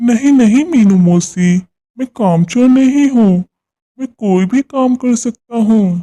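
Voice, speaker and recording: This cartoonish character voice sits at a fairly high pitch. It moves at a fairly slow pace. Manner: mild, innocent.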